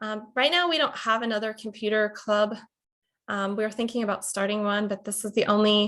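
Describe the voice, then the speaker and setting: A woman speaks with an American accent. Her pitch sits fairly high. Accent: slight Pittsburgh accent, fading. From Pittsburgh, Pennsylvania. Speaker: college instructor. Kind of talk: lecture. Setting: video call.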